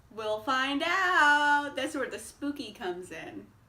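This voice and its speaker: A woman talks in a raised, projected voice with a bright, sharp tone. Her delivery has an upbeat tone. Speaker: book reviewer. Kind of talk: casual talk to camera. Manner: chatty, upbeat.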